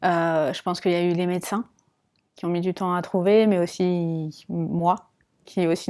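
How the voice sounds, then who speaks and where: A woman speaks fairly slowly in a dark, mellow, medium-pitched voice. The recording is very clean, with a silent background. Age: 30s. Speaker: patient testimony, volunteer. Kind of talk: testimony interview. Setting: at a trade fair.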